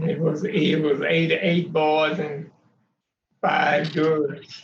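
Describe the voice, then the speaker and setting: In a monotone, flat delivery, a man talks very slowly. His pitch sits fairly high. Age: 90s. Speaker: family elder. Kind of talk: family interview. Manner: halting.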